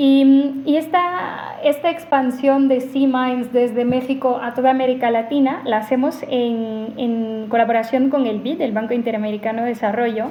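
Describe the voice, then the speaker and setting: Noticeable background noise sits behind a woman's high voice with a non-native accent. She keeps a moderate pace, hardly pauses and shows ordinary pitch variation. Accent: foreign accent in Spanish. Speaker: AI ethics researcher. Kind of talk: podcast interview.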